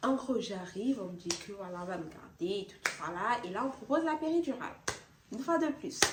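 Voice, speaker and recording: The pitch swings very widely at a fairly quick pace. Noticeable background noise runs underneath. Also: woman. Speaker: beauty and lifestyle vlogger. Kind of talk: personal testimony vlog. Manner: casual, conversational.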